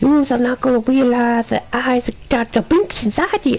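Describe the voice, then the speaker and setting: A female-sounding, put-on character voice, high in pitch, comes at a moderate pace against clear background noise. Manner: silly, exaggerated.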